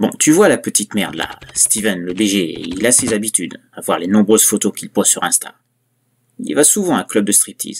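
This is an ordinary speaking voice from a man, fairly low in pitch. He keeps a moderate pace and ordinary pitch variation. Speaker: creepypasta narrator. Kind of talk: horror story narration, first-person parody as a killer. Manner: darkly gleeful, conspiratorial, relishing gruesome details.

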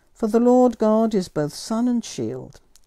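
A woman with a dark, mellow tone talks at a fairly slow pace with very wide pitch swings. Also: quiet background. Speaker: priest. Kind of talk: fervent prayer led by a priest, intercessions and petitions. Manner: earnest, devout and heartfelt.

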